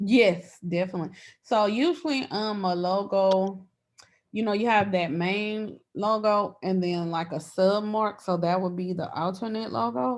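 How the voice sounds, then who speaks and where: Speaking at a fairly slow pace with ordinary pitch variation, a woman uses a medium pitch and a plain, everyday voice. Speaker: branding and social media coach. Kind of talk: online workshop, casual teaching.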